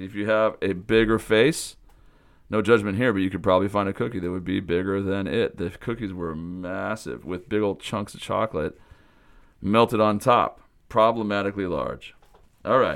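With an American accent, a man with a fairly low pitch speaks at a moderate pace with big swings in loudness, captured on a very clean recording against a silent background. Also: ordinary pitch variation. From US Pacific Northwest (Pullman, Washington). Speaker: summer camp director and podcast host. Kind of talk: podcast monologue report.

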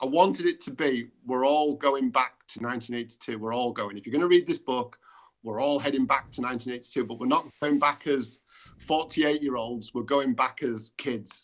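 With an English accent, a man speaks at a moderate pace. His voice sits at a medium pitch with ordinary variation. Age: 40s. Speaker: author. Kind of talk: interview.

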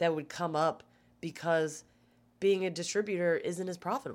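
In an American accent, a woman with an unremarkable speaking voice talks at a moderate pace and fairly low pitch on a very clean recording with a silent background. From Maryland, US (Gaithersburg and Baltimore). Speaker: stand-up comedian. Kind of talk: casual chat. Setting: hotel room.

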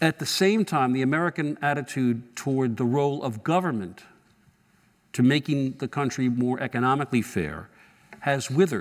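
This is a man with an unremarkable speaking voice. He talks at a moderate speed in a medium register. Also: ordinary pitch variation. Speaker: journalist moderator. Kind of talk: on-stage interview. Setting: stage with audience.

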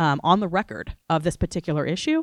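A woman with an American accent talks at a fairly quick pace. Her sound is dry and close, with no echo. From Florida. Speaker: civil rights lawyer.

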